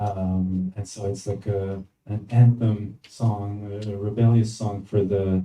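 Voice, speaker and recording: Dark and mellow in tone, this man's somewhat breathy voice sits fairly low, with fairly even intonation. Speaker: musician. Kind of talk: panel Q&A. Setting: stage with audience. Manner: halting.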